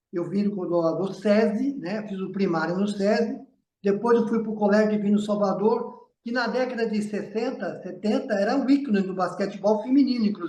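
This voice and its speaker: Audible room echo surrounds a man with a high pitch. He speaks at a moderate pace with ordinary pitch variation. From São Paulo state, Brazil (Jundiaí). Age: 60s. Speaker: basketball coach. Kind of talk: interview.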